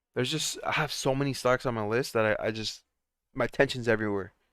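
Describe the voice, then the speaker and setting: A man with a bright, sharp tone talks at a very fast pace on a very clean recording with a silent background. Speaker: stock trading streamer. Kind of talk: live stream commentary.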